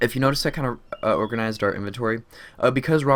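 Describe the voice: What we hear is plain reading aloud.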